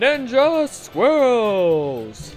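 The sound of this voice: Over clear music in the background, a put-on character voice that sounds female sits at a fairly high pitch with very wide pitch swings.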